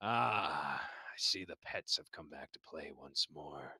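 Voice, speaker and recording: Booming and raspy, a man does a put-on character voice at a fairly slow pace. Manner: menacing, mocking.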